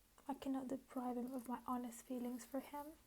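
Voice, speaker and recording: A soft-spoken woman has a high pitch and a dark, mellow tone. Her intonation is monotone and flat. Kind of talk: poetry reading.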